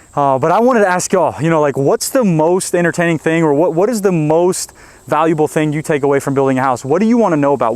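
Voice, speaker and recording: The male speaker's pitch is fairly high. He talks very fast. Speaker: home builder and video host. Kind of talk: casual vlog narration. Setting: outdoors. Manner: animated.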